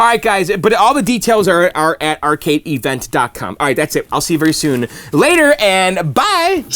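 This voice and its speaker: A man with a high pitch speaks in very wide pitch swings, with hardly any pauses. The sound is dry and close with no echo, though noticeable background noise comes through. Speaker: YouTuber fixing arcade machines. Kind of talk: casual vlog outro. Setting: basement. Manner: fast.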